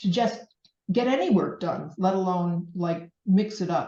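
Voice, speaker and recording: The voice is somewhat breathy with a dark, mellow tone, moving at a very slow pace with lively intonation. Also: woman. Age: 60s. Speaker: painter. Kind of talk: casual talk to an audience. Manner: halting.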